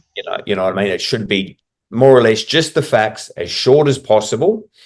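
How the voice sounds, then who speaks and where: Against a quiet background, a man with a strong New Zealand accent talks at a fairly quick pace in a medium pitch. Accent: heavy Kiwi. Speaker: corporate trainer, podcast co-host. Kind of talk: casual chat.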